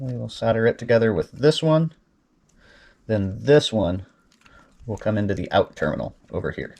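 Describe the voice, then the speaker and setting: Pausing long and often, a man with a medium pitch talks at a moderate pace with lively intonation. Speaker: guitar modder. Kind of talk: tutorial. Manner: casual.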